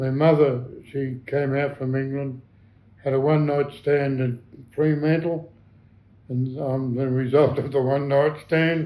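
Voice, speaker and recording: A man with an Australian accent has a dark, mellow tone, a fairly high pitch and monotone, flat intonation. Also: fairly slow pace. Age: 80s+. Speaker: war veteran. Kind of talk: interview answer.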